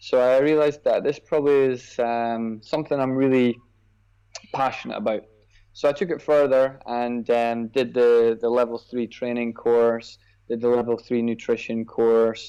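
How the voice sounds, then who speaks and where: A man with a Scottish accent, medium pitch, a dark, mellow tone, fairly even intonation and a moderate pace. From Scotland. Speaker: personal trainer. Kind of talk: podcast interview.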